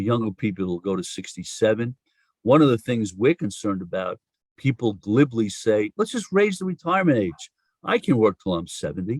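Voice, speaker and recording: A man with a New York accent talks at a fairly quick pace, his pitch swinging very widely. The recording is very clean with a silent background and sounds dry and close, with no echo. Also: medium pitch for a man. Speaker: social insurance policy expert. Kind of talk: podcast interview.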